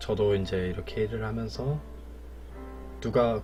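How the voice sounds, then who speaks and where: A man with a very deep, low pitch talks at a moderate pace while music plays in the background. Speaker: streamer. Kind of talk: casual talk about a poem.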